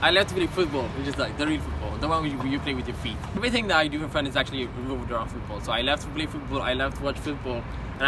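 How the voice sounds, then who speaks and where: Noticeable background noise behind a man's very fast speech. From Ethiopia. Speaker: college engineering student. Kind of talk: interview answer.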